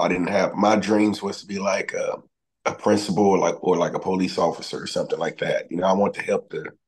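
A man is speaking. He has a Southern US accent. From Mississippi, near Memphis. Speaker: singer-songwriter; guest. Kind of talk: interview. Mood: relaxed, friendly. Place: home room. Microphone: video call.

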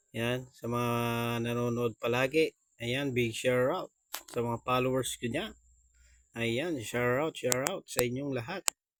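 In a dry, close sound with no echo, a man at a medium pitch talks at a fairly slow pace with fairly even intonation. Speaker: vlogger. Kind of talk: casual vlog.

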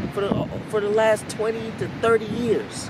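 A man's voice sounds dry, with no echo, amid loud background noise. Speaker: vlogger doing a comedic reenactment. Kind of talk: casual vlog chat and acted monologue. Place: beach.

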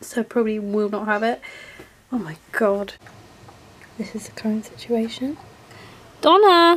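A woman with a British accent speaks at a fairly slow pace with lively intonation. There is light background noise. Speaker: vlogger. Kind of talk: casual vlog. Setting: home. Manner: animated; excitable.

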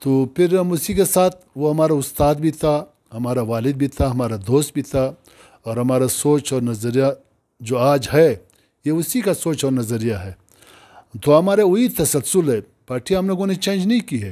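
This man talks at a fairly slow pace, his fairly high voice dark and mellow in tone, with lively intonation over a quiet background. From Pakistan. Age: 60s. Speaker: provincial governor, politician; politician interviewee. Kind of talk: interview. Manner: halting. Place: home room.

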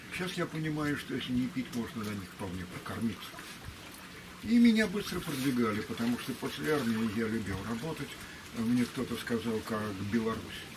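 Lively intonation marks a man speaking at a medium pitch and a moderate pace. He takes long, frequent pauses, with noticeable background noise behind him. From Russia. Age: 70s. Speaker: traveler; interview subject. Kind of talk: casual chat. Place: waterside. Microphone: camera far.

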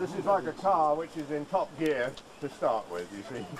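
Crowd noise fills the background as a man speaks. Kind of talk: informal explanation to crowd. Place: open country. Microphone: old recording.

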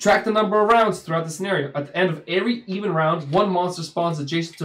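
Someone reads aloud in a natural voice. The pitch shifts an ordinary amount.

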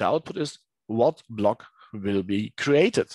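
Over a quiet background, a man speaks at a very slow pace in a dry sound with no echo. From Germany, Dresden; Germany. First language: German. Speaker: teacher. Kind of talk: tutorial. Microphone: headset.

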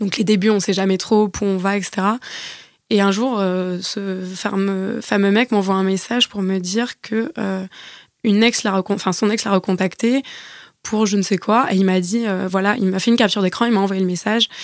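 Speaking in a normal speaking voice, a woman keeps a moderate pace and a medium pitch on a very clean recording with a silent background. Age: 30s. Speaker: podcast guest sharing dating experiences. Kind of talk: casual chat.

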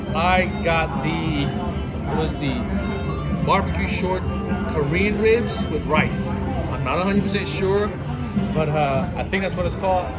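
Over loud music in the background, a man talks at a very slow pace with long, frequent pauses. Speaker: vlogger. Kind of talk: casual vlog chat. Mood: excited, upbeat. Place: cafe. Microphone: phone near.

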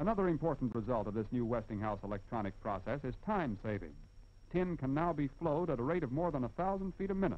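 At a very fast pace, a man talks with very wide pitch swings and very even loudness. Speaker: film narrator. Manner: formal, measured, brisk and declarative, with confident, even pacing; didactic, explaining step by step with emphasis on key points. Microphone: old recording.

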